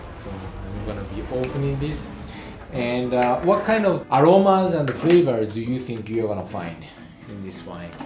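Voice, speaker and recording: Over background music and audible room echo, the speech keeps a moderate pace with very wide pitch swings and big swings in loudness. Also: man, medium pitch for a man. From Japan. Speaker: wine vlogger. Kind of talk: casual chat.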